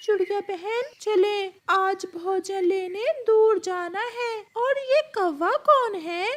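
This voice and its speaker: This cartoonish character voice has an extremely high pitch. It moves at a very slow pace with hardly any pauses. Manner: suspicious, protective.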